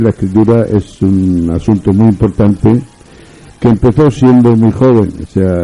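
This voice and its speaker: Music plays in the background as a man speaks at a fairly slow pace. His pitch is fairly low, with ordinary variation. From Spain, Murcia. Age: 70s. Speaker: writer. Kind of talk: radio interview. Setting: radio studio. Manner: formal.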